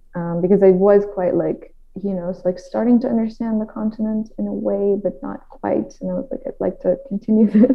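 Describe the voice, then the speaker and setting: A woman's medium-pitched voice with a Dutch accent, a fairly quick pace, ordinary pitch variation and hardly any pauses. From Netherlands. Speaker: linguistics content creator. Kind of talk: interview. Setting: video call.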